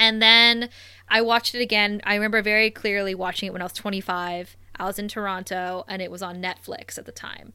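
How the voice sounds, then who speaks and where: Speaking with a Canadian accent, a woman uses a bright, sharp tone at medium pitch, a fairly quick pace and fairly even intonation. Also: big swings in loudness. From Canada, Thunder Bay, Ontario. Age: 30s. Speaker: podcast co-host. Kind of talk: casual chat. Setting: online call.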